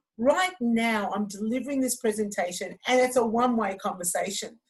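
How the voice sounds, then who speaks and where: Here a woman speaks at a fairly high pitch, her voice somewhat breathy. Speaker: fitness instructor and trainer. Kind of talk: online training presentation.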